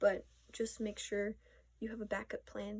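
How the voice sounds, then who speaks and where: A woman's somewhat breathy, fairly high-pitched voice at a fairly slow pace. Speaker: vlogger. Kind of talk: casual monologue. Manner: halting.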